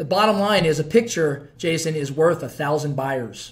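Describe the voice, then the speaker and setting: The intonation is lively. The pace is moderate. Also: man. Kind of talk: promotional talk to camera. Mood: upbeat, joking. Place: office. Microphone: phone near.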